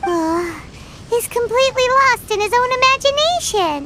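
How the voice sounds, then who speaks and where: Set against loud background noise, a put-on character voice at an extremely high pitch moves at a moderate pace. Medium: video game. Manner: bubbly.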